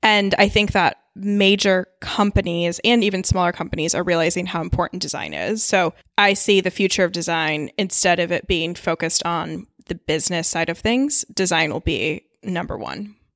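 In a very clean recording with a silent background, a woman with an unremarkable speaking voice and medium pitch speaks at a moderate pace, with fairly even intonation and hardly any pauses. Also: dry, close sound with no echo. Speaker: design professional. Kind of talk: casual chat. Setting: studio.

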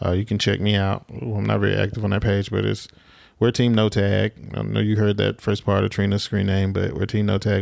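Fairly low-pitched man in a Southern US accent, with fairly even intonation, a moderate pace and a very clean recording over a silent background. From southwest Alabama. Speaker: podcast co-host. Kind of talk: casual chat. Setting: studio in Atlanta.

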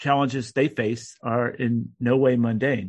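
Against a quiet background, a man talks at medium pitch. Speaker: retired naval officer and security researcher. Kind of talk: interview. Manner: halting, many fillers.

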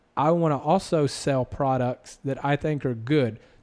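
A man talks at a fairly high pitch. His pitch variation is ordinary. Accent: slight Southern US. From US South. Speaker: podcast host and apparel entrepreneur. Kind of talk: casual interview chat.

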